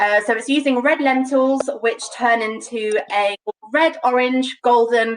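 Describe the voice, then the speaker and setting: A woman with a London accent and fairly even intonation. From London, England. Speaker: home cook demonstrating a recipe. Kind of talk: live cooking demonstration. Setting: live online broadcast.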